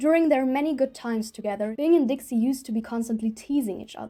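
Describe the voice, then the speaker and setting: Dark and mellow in tone, a woman's voice carries a non-native accent. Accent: noticeable non-native. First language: not English. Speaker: documentary video maker. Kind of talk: scripted narration.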